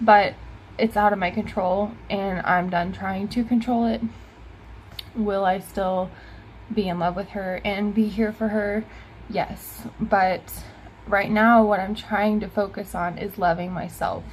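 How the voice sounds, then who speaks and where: Her voice somewhat breathy, a woman speaks at a medium pitch and fairly slow pace with monotone, flat intonation and long, frequent pauses. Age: 20s. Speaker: vlogger in addiction recovery. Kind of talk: casual personal vlog.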